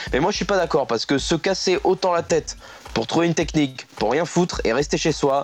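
A high-pitched man speaking at a fairly quick pace. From northern France (Picardy). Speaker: humor columnist. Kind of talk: comedic radio chronicle.

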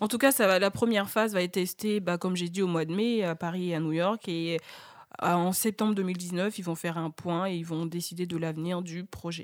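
An unremarkable speaking voice from a woman, fairly low in pitch, at a moderate pace with fairly even intonation, on a very clean recording with a silent background. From French-speaking Africa. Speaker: radio panelist. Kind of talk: radio discussion.

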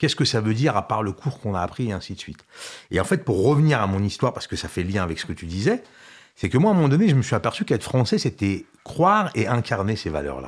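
At a very fast pace, a man talks in a medium pitch with very wide pitch swings. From Algeria. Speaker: community association director. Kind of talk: casual interview. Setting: studio. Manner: halting, repeats words.

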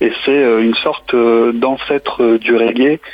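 Amid noticeable background noise, a man talks at a medium pitch with a monotone, flat intonation. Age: 20s. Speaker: saxophonist. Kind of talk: radio interview. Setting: phone call.

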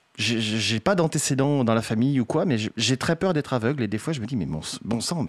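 With an unremarkable speaking voice, a man talks at a fairly quick pace, his medium pitch carried by lively intonation. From France, Poitiers. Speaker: game developer, association president. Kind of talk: radio interview. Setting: radio studio.

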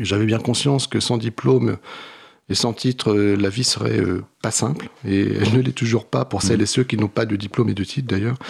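With vocal fry and very even loudness, a man speaks at a moderate pace, his pitch fairly low and his pitch variation ordinary. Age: 50s. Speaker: social work trainer and author. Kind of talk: radio interview.

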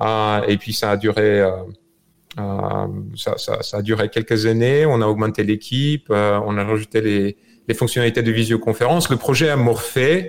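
A man's medium-pitched voice in a Bulgarian accent, fairly slow, with ordinary pitch variation. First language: Bulgarian (speaking French). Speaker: software creator. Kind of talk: remote interview. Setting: video call from home.

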